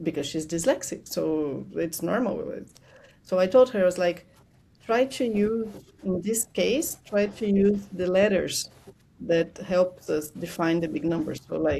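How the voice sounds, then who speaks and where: With a Portuguese accent, a woman speaks fairly slowly in a dark, mellow tone at a medium pitch with ordinary pitch variation. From Brazil. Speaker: money strategist. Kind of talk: podcast interview.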